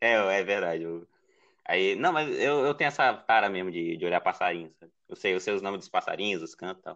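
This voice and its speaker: A man with a northeastern Brazilian accent speaks at a fairly low pitch and a fairly quick pace. His intonation is lively, with big swings in loudness. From Ceará, Brazil (Northeast). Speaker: podcast editor and illustrator. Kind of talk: casual chat.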